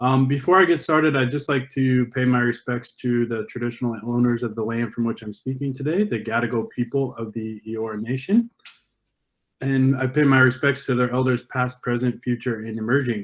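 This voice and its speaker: This is a man with an ordinary speaking voice, medium in pitch and with an American accent. He talks at a fairly quick pace with fairly even intonation. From US, Northern California. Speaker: education and STEM industry partnerships presenter. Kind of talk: conference presentation. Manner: many fillers and false starts.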